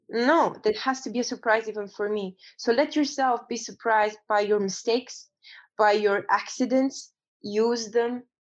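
In a Romanian accent, the speech moves at a moderate pace with fairly even intonation over a quiet background. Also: woman, fairly high pitch for a woman. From Romania, Transylvania. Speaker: photographer and actor. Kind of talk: interview. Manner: halting.

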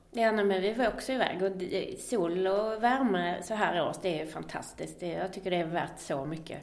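Noticeable background noise behind a woman's medium-pitched voice, her pace moderate. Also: ordinary pitch variation. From Skåne, Sweden. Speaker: podcast host. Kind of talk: casual podcast conversation.

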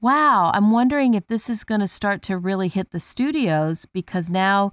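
An unremarkable speaking voice with lively intonation. The sound is dry and close with no echo, on a very clean recording with a silent background. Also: woman. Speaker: casting director. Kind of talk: casual chat.

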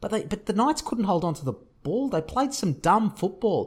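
Pitch swings very widely as a man talks with an Australian accent. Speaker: rugby league podcast co-host. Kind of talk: casual sports chat; match review recap.

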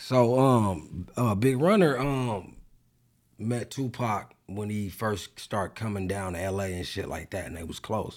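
At a fairly slow pace with ordinary pitch variation, a man speaks in a very clean recording over a silent background. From Los Angeles, US. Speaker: author. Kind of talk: casual chat.

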